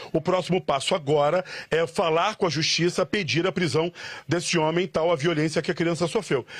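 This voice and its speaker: Delivered at a moderate pace with fairly even intonation, the voice holds very even loudness in a dry, close sound with no echo. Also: man, high pitch for a man. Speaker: field reporter. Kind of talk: live TV news reporting. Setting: outdoors, on location. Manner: emotional, earnest.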